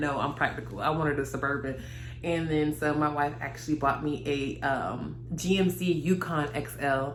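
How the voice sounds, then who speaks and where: A woman with a very deep, low pitch talks in an animated tone. Noticeable background noise and audible room echo surround her voice. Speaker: lifestyle vlogger. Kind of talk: casual vlog monologue. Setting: daughter's bedroom.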